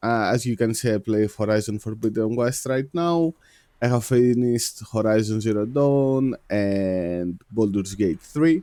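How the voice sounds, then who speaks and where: A man with a Greek accent talks at a fairly slow pace. His pitch variation is ordinary and his loudness very even. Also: medium pitch for a man. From Greece. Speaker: video game streamer. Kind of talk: live game stream commentary. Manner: halting, many fillers.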